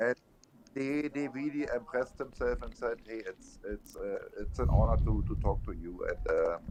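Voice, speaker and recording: A man with a German accent, with noticeable background noise. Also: moderate pace. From Germany. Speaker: trucker convoy protester. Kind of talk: casual chat.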